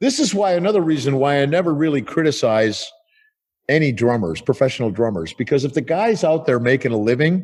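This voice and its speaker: A man's normal speaking voice with an American accent, fairly high in pitch, at a fairly quick pace, with lively intonation, very even loudness and a quiet background. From United States. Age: 60s. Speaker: rock drummer. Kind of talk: casual interview.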